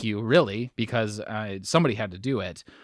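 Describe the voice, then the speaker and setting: In a very clean recording with a silent background, a man with an American accent talks at a moderate pace. He has an ordinary speaking voice, medium pitch and ordinary pitch variation. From Wisconsin, US. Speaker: bowling podcast host. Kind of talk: casual interview.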